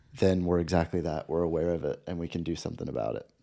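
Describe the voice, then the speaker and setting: Heard on a very clean recording with a silent background, the man's voice has a dark, mellow tone. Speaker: podcast co-host. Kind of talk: casual chat podcast.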